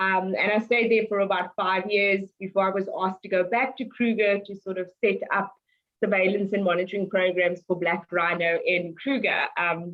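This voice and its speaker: A woman at medium pitch, moderate pace, and fairly even intonation, in a South African accent. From South Africa, Cape Town. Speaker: wildlife conservationist, head ranger. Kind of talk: interview.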